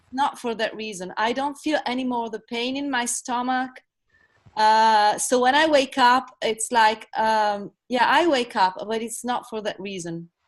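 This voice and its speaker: Against a quiet background, a woman with an Italian accent speaks at a fairly slow pace in a high pitch with ordinary pitch variation. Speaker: coaching participant. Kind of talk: testimony. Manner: halting.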